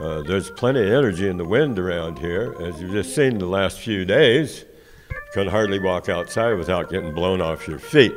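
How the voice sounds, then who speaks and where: Over music in the background, a man with an American accent speaks at a moderate pace, his very deep, low pitch carried by lively intonation. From US West Coast, San Francisco Bay Area. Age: 70s. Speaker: college student, Air Force veteran. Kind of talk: interview. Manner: hesitant, many filler words.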